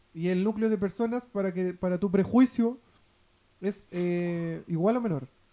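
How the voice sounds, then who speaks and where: A man talks at a fairly slow pace with a high pitch. His tone is dark and mellow. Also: ordinary pitch variation. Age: 30s. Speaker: radio co-host. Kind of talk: casual chat. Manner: halting.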